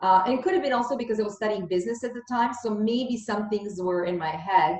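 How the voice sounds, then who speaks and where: Over noticeable background noise, a woman talks very fast in a fairly high pitch with ordinary pitch variation. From Bosnia, raised in Canada. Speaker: podcast host, financial education founder. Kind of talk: interview conversation.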